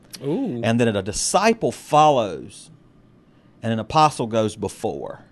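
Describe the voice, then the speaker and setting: Against a quiet background, a man with an American accent and an unremarkable speaking voice talks at a fairly slow pace, his medium pitch carried by lively intonation. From US South. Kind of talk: casual chat about faith.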